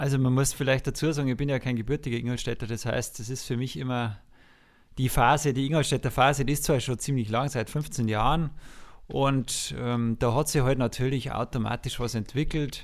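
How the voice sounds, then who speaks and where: A normal speaking voice at a moderate pace, fairly even in intonation, on a very clean recording with a silent background. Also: man, medium pitch for a man. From Lower Bavaria, Passau district. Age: 40s. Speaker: music teacher and conductor. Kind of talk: casual interview.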